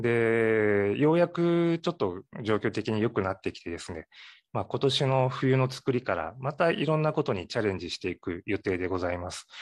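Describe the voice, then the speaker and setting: A man's pitch swings very widely. The background is quiet, and the sound is dry and close with no echo. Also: medium pitch for a man, moderate pace. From Ehime, Japan (Matsuyama). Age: 40s. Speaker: sake brewery owner. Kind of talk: interview.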